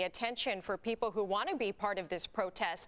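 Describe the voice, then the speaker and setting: Speaking at a moderate pace with lively intonation, a woman with an American accent has an unremarkable speaking voice pitched fairly high. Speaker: television news anchor and reporter. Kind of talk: TV news anchor delivery.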